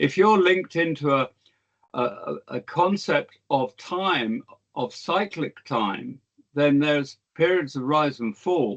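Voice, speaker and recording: Speaking very slowly with lively intonation, a man with a British accent talks at a fairly high pitch in a dry, close sound with no echo. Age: 70s. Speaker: historian. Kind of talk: lecture. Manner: halting, frequent repetitions and fillers.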